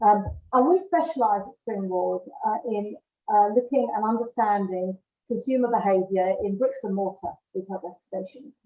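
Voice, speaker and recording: A woman with a British accent speaks at a moderate pace in a medium pitch, with ordinary pitch variation. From UK. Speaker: marketing director. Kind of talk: interview.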